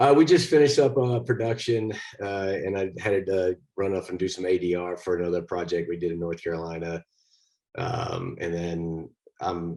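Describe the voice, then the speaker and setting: With a dark, mellow tone, a man speaks at a very deep, low pitch. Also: quiet background. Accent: Texas. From Texas. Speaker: actor. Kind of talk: interview.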